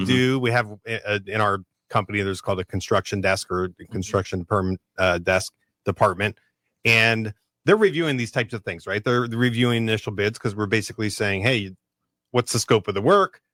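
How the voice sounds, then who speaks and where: A man talks at a fairly quick pace with a fairly low pitch, ordinary pitch variation and a bright, sharp tone. The recording is very clean, with a silent background and a dry, close sound with no echo. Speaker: mortgage lender on the radio show. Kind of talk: radio talk.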